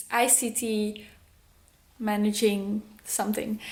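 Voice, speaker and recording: Her intonation monotone and flat, a woman speaks in a somewhat breathy voice at a fairly high pitch. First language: Dutch. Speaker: vlogger, homeschooling mother. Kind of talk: casual vlog talk. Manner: halting.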